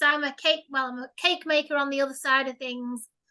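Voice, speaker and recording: A woman's high, raised and projected voice with a bright, sharp tone at a fairly quick pace. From Failsworth, Greater Manchester. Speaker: paranormal investigator and cake maker. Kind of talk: casual interview.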